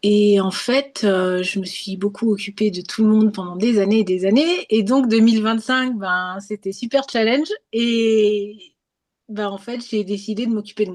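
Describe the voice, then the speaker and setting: A woman at a medium pitch with fairly even intonation, at a very slow pace. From France. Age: 50s. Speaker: holistic therapist. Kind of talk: testimony. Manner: halting.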